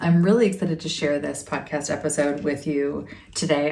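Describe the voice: A woman's low-pitched, slightly mellow voice with vocal fry and a calm, soothing tone, at a fairly quick pace over faint background noise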